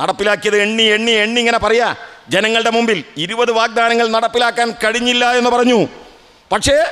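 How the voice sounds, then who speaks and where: In a raised, projected voice, a man speaks at an extremely high pitch with monotone, flat intonation. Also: very even loudness. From Kerala, Kozhikode district; Kerala, India. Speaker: political speaker; speaker. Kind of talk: political speech at memorial rally. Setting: outdoor public meeting under a tent. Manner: oratorical, rhetorical questions to audience. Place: stage. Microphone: podium.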